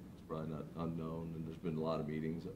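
A man speaks with a very deep, low voice over noticeable background noise. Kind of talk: meeting discussion. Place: hall.

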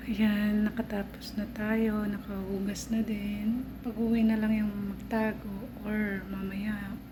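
At a very slow pace with hardly any pauses, a woman speaks in a fairly high pitch with monotone, flat intonation, amid noticeable background noise and audible room echo. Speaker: vlogger. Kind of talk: cooking vlog. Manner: casual.

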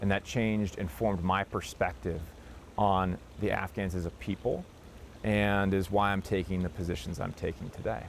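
A man with an American accent speaks at a moderate pace in a very deep, low pitch with vocal fry and ordinary pitch variation. The sound is dry with no echo, and there is light background noise. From Wisconsin, US Midwest. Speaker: war veteran. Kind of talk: interview. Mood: earnest, firm conviction. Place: garden. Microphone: lapel.

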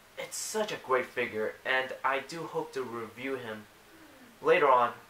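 Speech at a fairly slow pace comes with light background noise and audible room echo. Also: man. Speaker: toy and comic reviewer. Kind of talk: casual talk to camera. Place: home room. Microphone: webcam.

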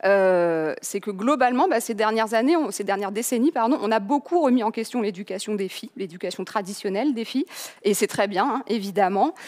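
A woman's intonation is lively and her pace fairly quick, with a quiet background. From France. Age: 30s. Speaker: journalist and author; conference speaker. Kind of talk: lecture. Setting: online conference. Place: hall. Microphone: headset.

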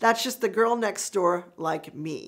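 Against a quiet background, a woman talks at a fairly slow pace in a bright, sharp, animated tone with very wide pitch swings. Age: 50s. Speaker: YouTube lifestyle vlogger. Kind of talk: casual vlog monologue. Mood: warm, encouraging. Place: studio.

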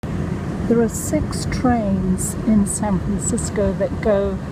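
A woman speaks in a dry sound with no echo over loud background noise. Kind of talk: casual vlog narration. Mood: cheerful, relaxed. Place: train. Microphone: phone near.

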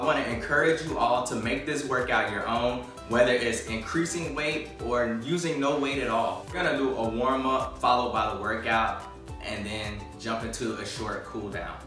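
A man speaks with ordinary pitch variation over clear music in the background. Audible room echo colors the recording. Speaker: fitness instructor. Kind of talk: workout video introduction. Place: home room.

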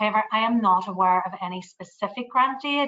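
A woman speaks with a Northern Irish accent at a moderate pace. The background is quiet. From Northern Ireland. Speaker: tourism agency staff. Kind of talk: Q&A answer. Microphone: video call.

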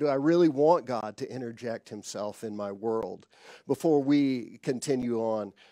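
A man speaks in a dark, mellow tone with ordinary pitch variation. The sound is dry with no echo and the background is quiet. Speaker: preacher. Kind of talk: sermon. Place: stage. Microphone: headset.

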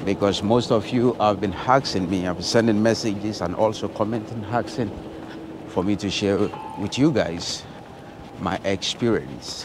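Recorded dry with no echo but with noticeable background noise, a man speaks at a fairly low pitch. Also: ordinary pitch variation, moderate pace. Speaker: travel vlogger. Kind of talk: casual vlog chat. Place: street. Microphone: phone near.

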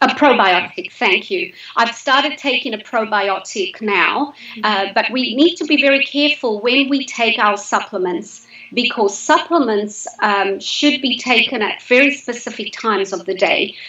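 A woman's high voice with lively intonation at a moderate pace, in audible room echo. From Zimbabwe. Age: 50s. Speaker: health coach. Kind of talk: casual chat. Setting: live video stream. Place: home room. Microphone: video call.

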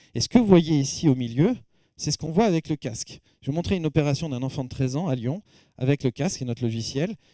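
Speaking very fast with lively intonation, a man has a dark, mellow tone. The sound is dry with no echo, and the background is quiet. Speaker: professor and medical technology researcher; professor. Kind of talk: lecture. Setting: stage with audience. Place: hall. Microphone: handheld.

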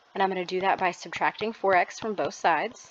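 At a fairly quick pace, a woman speaks at medium pitch in a plain, everyday voice. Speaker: math teacher. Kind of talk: math lesson narration.

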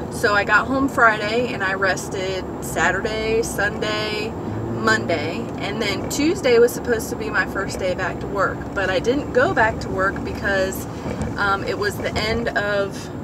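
Over loud background noise, a woman talks at a fairly slow pace, the sound dry with no echo. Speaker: vlogger. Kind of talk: casual vlog chat. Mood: candid, slightly embarrassed. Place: car. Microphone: phone near.

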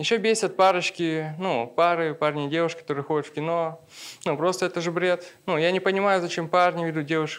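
A man speaks at a fairly high pitch, keeping a moderate pace. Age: 20s. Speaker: stand-up comedian. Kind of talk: stand-up comedy set. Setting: stage with audience. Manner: casual, conversational, with punchline pauses. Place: stage. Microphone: handheld.

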